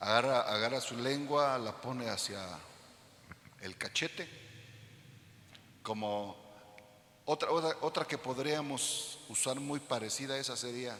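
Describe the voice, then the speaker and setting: Amid noticeable background noise, a man speaks at a fairly slow pace and a medium pitch, with ordinary pitch variation and long, frequent pauses. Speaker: pastor. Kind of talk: sermon. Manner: loud; animated.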